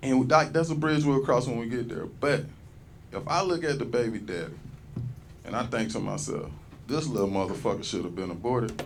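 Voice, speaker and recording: Against music in the background and audible room echo, a man at medium pitch speaks at a fairly quick pace with very wide pitch swings and long, frequent pauses. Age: 40s. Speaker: stand-up comedian. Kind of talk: stand-up. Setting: stage with audience. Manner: animated.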